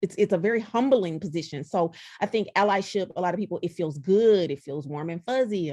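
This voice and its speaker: A woman with a Southern US accent speaks at a fairly quick pace, her medium-pitched voice dark and mellow in tone with lively intonation. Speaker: diversity speaker and consultant. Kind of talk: podcast interview.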